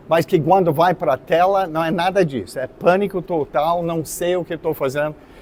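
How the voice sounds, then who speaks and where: This man talks at a moderate pace with a high pitch, fairly even intonation, and hardly any pauses. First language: not Portuguese (speaking Portuguese). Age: 70s. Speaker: artist and art teacher. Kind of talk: lecture. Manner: halting, many fillers.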